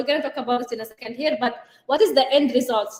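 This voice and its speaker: A woman with an Arabic accent talks at a very fast pace in an animated tone, her high voice showing ordinary pitch variation. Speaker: life and business coach, co-host. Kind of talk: live show chat.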